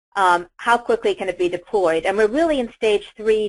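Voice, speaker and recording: A woman speaks at a medium pitch with ordinary pitch variation. The background is quiet. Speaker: industry presenter. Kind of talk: webinar presentation. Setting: virtual event. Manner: fast.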